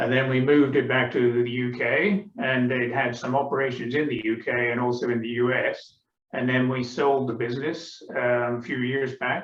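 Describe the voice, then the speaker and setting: The delivery is monotone and flat in intonation, at a moderate pace. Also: man. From England. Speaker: author. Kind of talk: book club discussion. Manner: hesitant, many filler sounds.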